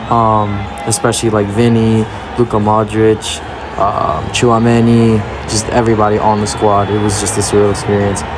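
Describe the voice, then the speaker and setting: A man's fairly low, monotone voice with flat intonation, amid noticeable background noise and audible room echo. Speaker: vlogger. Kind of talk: vlog narration. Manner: fast; casual, filler-heavy.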